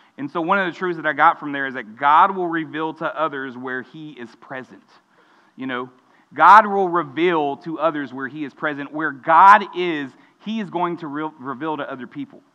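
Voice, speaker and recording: With a normal speaking voice, a man talks at a moderate pace in a fairly high pitch, with ordinary pitch variation and big swings in loudness. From Texas, Mexican American family. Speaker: student pastor. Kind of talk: sermon.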